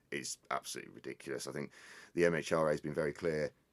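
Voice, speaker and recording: A very deep, low male voice with vocal fry, flat monotone delivery and a very fast pace, in a dry, close sound with no echo. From England, Northamptonshire. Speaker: hemp company CEO. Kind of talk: interview.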